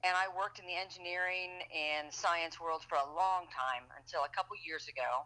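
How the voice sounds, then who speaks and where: With an American accent, a woman speaks in an unremarkable speaking voice at a fairly low pitch and a moderate pace. Her intonation is fairly even, and she hardly pauses at all. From Boston. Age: 50s. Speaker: local political candidate. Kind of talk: interview. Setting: podcast.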